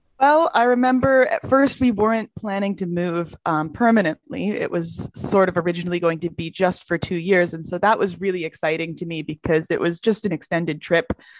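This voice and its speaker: In a dry, close sound with no echo, a woman with an American accent and an unremarkable speaking voice talks at a fairly quick pace with hardly any pauses, a fairly low pitch and ordinary pitch variation. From US, then Germany. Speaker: university student. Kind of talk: interview.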